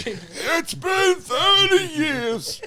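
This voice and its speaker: In a put-on character voice at an extremely high pitch, the speaker sounds croaky, raspy and strained, with clear background noise. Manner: slow, strained.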